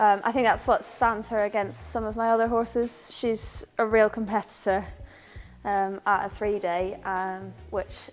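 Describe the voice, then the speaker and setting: A woman speaks at a fairly slow pace in a medium pitch, her intonation flat and monotone, with music playing behind her. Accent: Northern Irish. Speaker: event rider. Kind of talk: casual interview.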